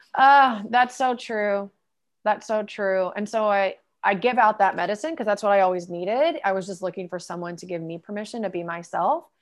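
With an unremarkable speaking voice, a woman talks at a moderate pace in a medium pitch, using ordinary pitch variation and big swings in loudness against a quiet background. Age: 30s. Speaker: life coach. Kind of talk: interview conversation.

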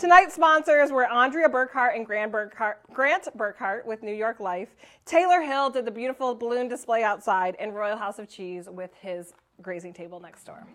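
A woman with a normal speaking voice talks at a moderate pace and a fairly high pitch. Her intonation is lively, with big swings in loudness. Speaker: podcast host. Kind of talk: podcast interview. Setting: studio with live audience.

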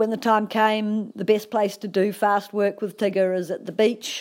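A woman with a New Zealand accent speaks at a moderate pace in a very clean recording with a silent background. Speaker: endurance rider. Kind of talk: recorded personal story.

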